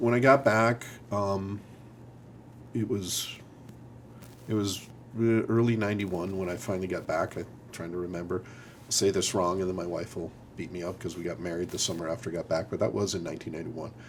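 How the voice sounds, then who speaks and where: Big swings in loudness mark this man's speech at a fairly quick pace. His pitch is fairly low, with ordinary pitch variation. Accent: Upper Midwest. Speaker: military officer. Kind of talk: interview. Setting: studio. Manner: halting, many repeated words.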